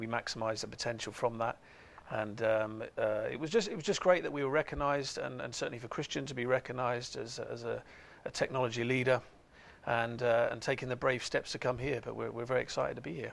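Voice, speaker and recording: The man talks very fast, his medium-pitched voice holding a fairly level intonation. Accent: English. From England. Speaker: company executive. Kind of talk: TV interview. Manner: halting, many fillers.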